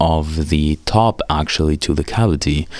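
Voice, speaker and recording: A man is speaking. He has a non-native accent. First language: not English. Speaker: guitar gear reviewer. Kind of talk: tutorial voice-over. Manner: casual.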